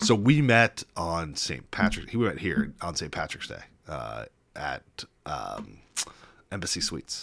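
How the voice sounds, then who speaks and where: With a Midwestern American accent, a man speaks at a fairly slow pace in a very deep, low voice with vocal fry, very wide pitch swings and big swings in loudness. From Kansas City, US Midwest. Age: 40s. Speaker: attorney. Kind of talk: casual chat.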